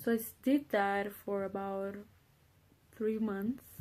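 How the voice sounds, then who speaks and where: A woman speaks with a Spanish accent at a fairly slow pace. Her voice is somewhat breathy. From Honduras. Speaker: college student. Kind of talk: personal introduction monologue. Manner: casual, hesitant with fillers.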